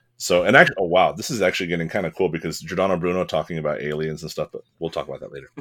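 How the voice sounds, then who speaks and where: A man in an American accent at a very fast pace, hardly any pauses and big swings in loudness. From California, US. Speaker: English teacher and author. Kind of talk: casual chat. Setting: remote from Montana.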